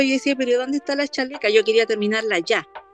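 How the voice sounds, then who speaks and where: Music plays in the background as a woman talks at a very fast pace with a high pitch, in a dry, close sound with no echo. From northern Chile. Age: 50s. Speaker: small business owner. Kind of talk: casual chat.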